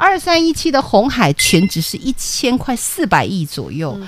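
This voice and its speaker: With an animated tone and very wide pitch swings, a woman talks over noticeable background noise. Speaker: stock market analyst. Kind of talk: radio stock analysis show.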